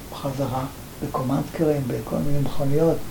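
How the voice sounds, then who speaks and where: A man talks at a moderate pace, his voice carrying audible room echo and noticeable background noise. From Libya (Benghazi). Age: 80s+. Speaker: Holocaust survivor and author. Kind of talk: personal testimony interview.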